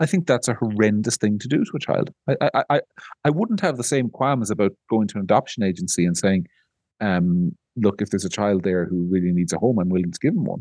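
The voice has a dark, mellow tone and an Irish accent, with lively intonation at a fairly quick pace. The sound is dry and close with no echo, over a quiet background. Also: man. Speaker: podcast host, media editor. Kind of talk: casual chat.

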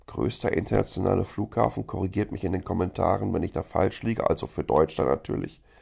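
With a very deep, low pitch and a dark, mellow tone, a man speaks at a fairly quick pace, using lively intonation and vocal fry. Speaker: podcast host, German expat in Taiwan. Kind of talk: angry rant about Germany. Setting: recorded on a phone voice recorder, not studio. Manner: indignant, sarcastic, ranting.

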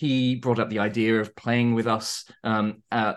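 With a southern English accent, a man speaks at a medium pitch. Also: quiet background. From southern England, Surrey. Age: 30s. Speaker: tabletop game writer. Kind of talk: interview. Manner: halting.

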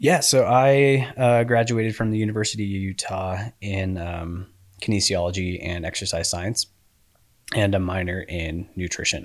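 In an American accent, a man talks at a moderate pace with ordinary pitch variation and a normal speaking voice. The recording is very clean, with a silent background. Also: fairly low pitch for a man. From Colorado (Colorado Springs). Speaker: endurance coach and cyclist. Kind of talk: casual chat.

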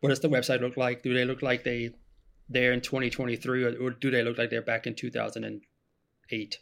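At a fairly quick pace, a man holds a medium pitch with monotone, flat intonation. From Germany. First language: German. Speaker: marketing specialist. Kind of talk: podcast interview.

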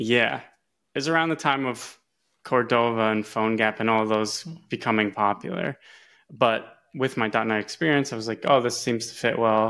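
In a very clean recording with a silent background, a man with an American accent speaks at a moderate pace in a bright, sharp tone, with a medium pitch and ordinary pitch variation. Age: 30s. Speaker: software engineer. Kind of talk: interview.

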